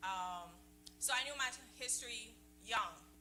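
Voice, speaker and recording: A woman's fairly low voice at a fairly slow pace, with music in the background and audible room echo. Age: 40s. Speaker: breast cancer survivor. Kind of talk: testimony.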